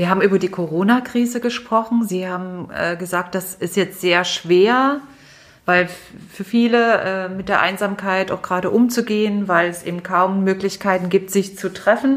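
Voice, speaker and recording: Her pitch sits in the middle range, and this woman has an unremarkable speaking voice with fairly even intonation. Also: moderate pace. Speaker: podcast host. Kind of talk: interview. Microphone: muffled from wearing a mask.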